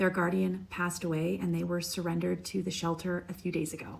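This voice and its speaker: A woman speaks quietly. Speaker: cat behavior specialist. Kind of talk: narrated tutorial. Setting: animal shelter.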